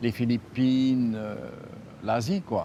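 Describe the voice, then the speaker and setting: A man speaks at a very slow pace. His voice is medium in pitch. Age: 80s+. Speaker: shell collector. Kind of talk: interview.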